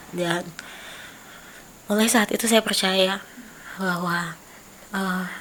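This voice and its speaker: Amid noticeable background noise, a woman at a medium pitch speaks at a very slow pace in a flat monotone, with long, frequent pauses. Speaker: artist. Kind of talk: casual chat.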